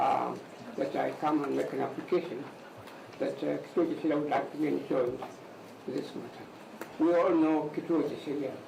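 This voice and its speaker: A man talks at a fairly quick pace, broken by long, frequent pauses. Audible room echo and noticeable background noise fill the recording. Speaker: lawyer. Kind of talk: court argument. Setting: courtroom. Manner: loud; formal.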